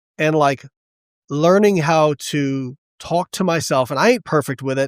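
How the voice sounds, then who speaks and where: A man with an unremarkable speaking voice talks at a moderate pace, his pitch fairly high with ordinary variation. The sound is dry and close with no echo, on a very clean recording with a silent background. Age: 40s. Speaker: nutrition scientist and powerlifter. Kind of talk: casual interview. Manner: casual, filler-heavy.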